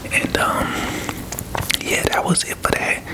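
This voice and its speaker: A man whispers in a relaxed tone. There is noticeable background noise. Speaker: ASMR creator. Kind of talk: casual story time talk to camera. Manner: soft-spoken, whispery, relaxed.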